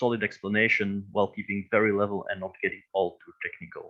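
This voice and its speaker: This man speaks with a non-native accent. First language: not English. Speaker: crypto educator, company founder. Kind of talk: interview. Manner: halting.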